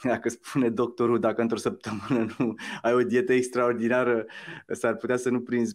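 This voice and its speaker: Against a quiet background, a man with a medium-pitched voice talks at a moderate pace. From Romania. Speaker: musician and social entrepreneur; interview guest. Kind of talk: interview. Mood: cheerful, animated. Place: home room. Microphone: video call.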